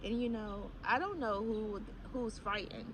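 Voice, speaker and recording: A woman with a fairly high pitch talks at a moderate pace with ordinary pitch variation, with audible room echo and noticeable background noise. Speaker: spiritual YouTuber. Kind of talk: casual monologue. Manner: halting, many fillers.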